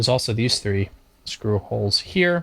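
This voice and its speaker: The speaker is a man. His voice is medium in pitch. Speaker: beginner amateur astronomer. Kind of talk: casual unboxing talk to camera.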